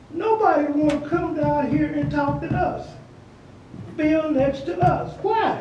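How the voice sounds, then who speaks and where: A man speaks at a very slow pace in an extremely high pitch with lively intonation, with noticeable background noise and audible room echo. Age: 60s. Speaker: resident speaking at public meeting. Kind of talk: public comment at city meeting. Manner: animated.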